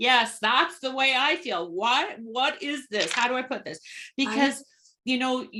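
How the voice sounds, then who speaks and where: The voice is raised and projected, bright and sharp in tone. Its intonation is lively and its pace fairly slow. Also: woman, high pitch for a woman. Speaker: podcast host. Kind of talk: podcast host conversation.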